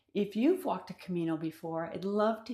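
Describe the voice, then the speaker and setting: A woman speaks in an ordinary speaking voice at a medium pitch. Her pace is moderate, with ordinary pitch variation. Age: 60s. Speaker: vlogger. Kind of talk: personal vlog monologue. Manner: conversational.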